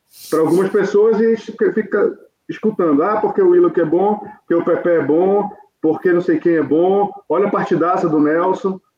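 A man is talking at a moderate tempo. His pitch sits high. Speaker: football fan pundit. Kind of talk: casual football debate.

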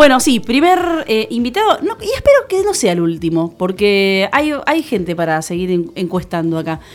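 Barely pausing, a woman with a fairly high pitch swings very widely in pitch amid noticeable background noise. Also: moderate pace. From Buenos Aires, Argentina. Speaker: podcast review columnist. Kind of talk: casual radio interview chat.

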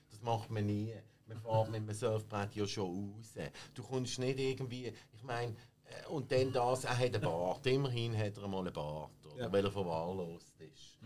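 A man with a normal speaking voice, medium in pitch, at a moderate pace, with big swings in loudness. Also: ordinary pitch variation. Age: 50s. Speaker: film expert. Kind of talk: casual chat.

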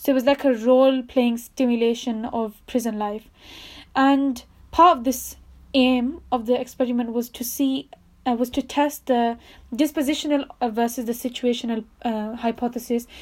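A woman speaks at a moderate pace in a high, monotone voice with flat intonation, on a very clean recording with a silent background. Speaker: psychology video presenter. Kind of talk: casual explainer. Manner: halting, stuttering.

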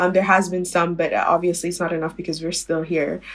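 A woman's fairly low voice with a Sudanese accent, monotone and flat, at a very fast pace. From Sudan, Khartoum. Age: 20s. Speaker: university student. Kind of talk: casual interview.

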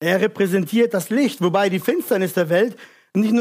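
A man talks with ordinary pitch variation. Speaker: preacher. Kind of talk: sermon. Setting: church with congregation. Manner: earnest, urgent preaching, direct appeals to the congregation; didactic, explains verse by verse.

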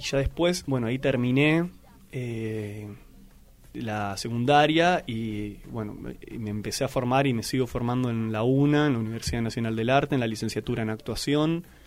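A man's medium-pitched voice at a moderate pace. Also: ordinary pitch variation. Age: 20s. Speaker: actor and theatre teacher. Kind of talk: radio interview. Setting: radio studio.

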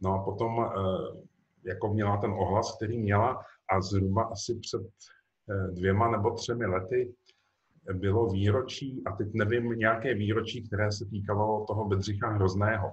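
A man with a fairly low pitch and a somewhat breathy voice speaks at a fairly slow pace in a monotone, flat intonation, with long, frequent pauses. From Czech Republic. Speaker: novelist. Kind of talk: author interview.

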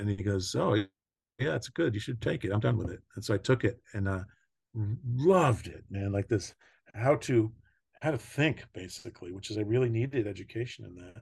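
A somewhat breathy man with an American accent, fairly low pitch, ordinary pitch variation, big swings in loudness, and a moderate pace, quiet background. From US, New York (Long Island). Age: 60s. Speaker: mental health and addiction counselor. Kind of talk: podcast interview, life story.

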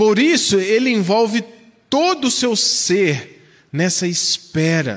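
A man talks very slowly in a high voice, with very wide pitch swings and very even loudness. Room echo is audible. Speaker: pastor. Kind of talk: sermon.

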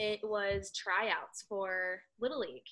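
A bright, sharp voice with an American accent speaks at a very slow pace, its intonation fairly even. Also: woman. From US, Southern California (high desert). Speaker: former college softball player, coach and blogger. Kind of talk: interview. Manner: halting.

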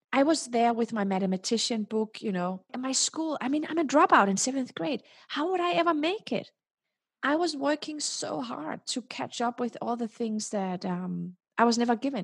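With lively intonation and a moderate pace, a woman speaks at a high pitch in a dry, close sound with no echo, recorded very cleanly against a silent background. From Denmark. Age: 40s. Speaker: tech entrepreneur and keynote speaker. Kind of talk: podcast interview.

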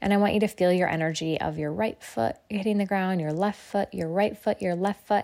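This woman's voice has a dark, mellow tone and a calm, soothing quality. Her intonation stays fairly even. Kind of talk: guided meditation. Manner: slow, calm, soothing, with long pauses; gentle, directive, coaxing the listener along.

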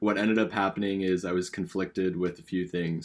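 Over a very clean recording with a silent background, a man with a Californian accent speaks in a very deep, low pitch. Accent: Californian American. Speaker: podcast co-host, university student. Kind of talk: casual chat.

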